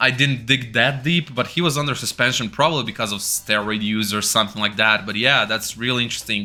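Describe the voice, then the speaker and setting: A man with a Croatian accent talking very fast with hardly any pauses and ordinary pitch variation, music in the background. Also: medium pitch for a man. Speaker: wrestling YouTuber. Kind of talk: casual video review. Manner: animated.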